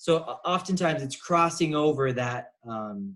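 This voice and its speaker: Lively intonation at a fairly slow pace. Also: man. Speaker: math teacher. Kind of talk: lecture. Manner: whispering briefly.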